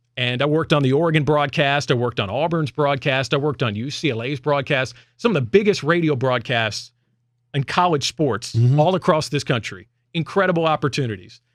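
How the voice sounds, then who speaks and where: Speaking at a fairly quick pace with a fairly high pitch and ordinary pitch variation, a man has an unremarkable speaking voice on a very clean recording with a silent background. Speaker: sports radio host and play-by-play broadcaster. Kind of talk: casual radio talk, personal announcement to listeners.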